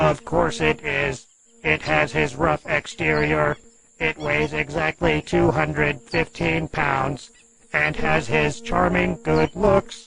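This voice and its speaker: Someone speaks in a put-on character voice. The pace is fairly slow. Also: man. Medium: audio drama. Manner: literal, earnest.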